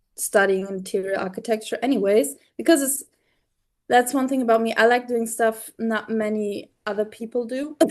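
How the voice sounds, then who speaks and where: A woman speaks in a German accent at a moderate pace. Her pitch is fairly high, with ordinary pitch variation. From Germany. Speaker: theology student. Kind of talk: casual chat. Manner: halting.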